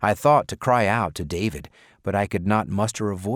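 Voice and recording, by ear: An aloud reading in a natural voice, with ordinary pitch variation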